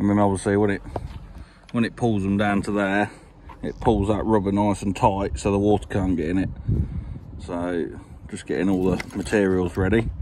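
Speaking at a moderate pace with long, frequent pauses, a man holds a fairly low pitch with little pitch movement and a slightly mellow tone.

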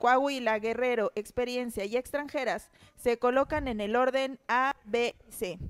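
Recorded with a dry, close sound and no echo, a woman speaks at a fairly slow pace. Her pitch is high. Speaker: co-host, wrestler. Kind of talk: reality show hosting, explaining rules.

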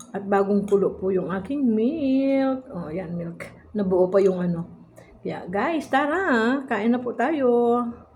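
Lively intonation carries speech delivered at a very slow pace. Noticeable background noise and audible room echo are present. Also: woman, fairly high pitch for a woman. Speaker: vlogger. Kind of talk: casual vlog narration.

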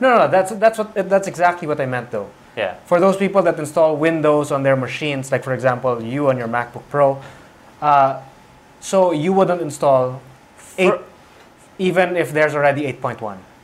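The pace from this male speaker is moderate. His pitch rises and falls in a lively way. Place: studio. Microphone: lapel.

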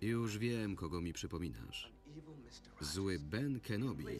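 There is music in the background. A man talks with very wide pitch swings. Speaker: Polish film voice-over reader (lektor). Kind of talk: single-voice film translation read over the original soundtrack.

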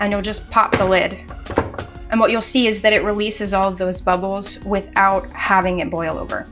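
A woman speaks with faint music in the background. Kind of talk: tutorial. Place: kitchen.

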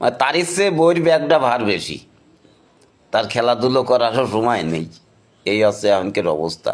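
A man speaks with a Khulna accent, his pitch swinging very widely. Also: medium pitch for a man. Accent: Khulna regional dialect. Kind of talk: nostalgic storytelling to camera.

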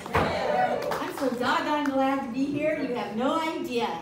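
A woman at a very slow pace with ordinary pitch variation, audible room echo, and crowd noise in the background. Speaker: stand-up comedian. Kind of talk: stand-up comedy set. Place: stage.

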